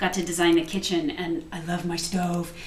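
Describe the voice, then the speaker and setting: Noticeable background noise and audible room echo both surround a woman's voice. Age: 40s. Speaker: home cook and cookbook author. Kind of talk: cooking demonstration. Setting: home kitchen. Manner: chatty, talkative.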